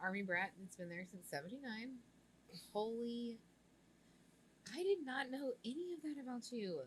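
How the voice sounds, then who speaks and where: In an American accent, the speaker sounds animated, with very wide pitch swings. Long pauses come often. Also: woman, fairly high pitch for a woman, moderate pace. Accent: Texan accent, comes out at times. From Central Texas. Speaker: podcast host. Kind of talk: casual podcast interview.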